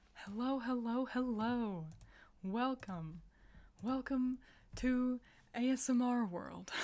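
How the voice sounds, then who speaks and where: Long, frequent pauses mark this woman's very slow pace. Her pitch is high, with ordinary variation and a dark, mellow tone. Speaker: streamer. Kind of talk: ASMR roleplay storytime. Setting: live stream.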